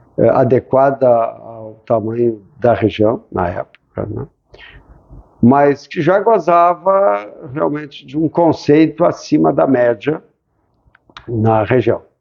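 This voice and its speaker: A man's very slow speech, broken by long, frequent pauses, with music in the background. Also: medium pitch for a man, lively intonation. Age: 60s. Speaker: ophthalmologist, former student. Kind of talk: interview.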